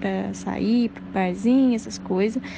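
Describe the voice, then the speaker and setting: Behind this woman there is noticeable background noise. She speaks fairly slowly. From Minas Gerais, Brazil (Passos, southwest). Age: 20s. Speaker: psychology student. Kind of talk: interview testimony.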